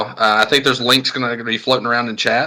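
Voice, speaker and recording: A man with a Southern US accent, bright, sharp tone and fairly quick pace. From US South. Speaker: podcast co-host. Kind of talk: casual chat and live podcast announcements. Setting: live-streamed podcast with audience.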